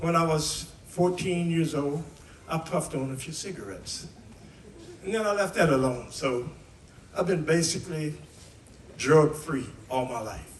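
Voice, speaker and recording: With an American accent, a man talks in a fairly high voice at a moderate pace, with ordinary pitch variation and long, frequent pauses, over noticeable background noise and audible room echo. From West Virginia, US. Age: 80s+. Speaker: singer and guitarist. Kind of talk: storytelling testimony to a live audience.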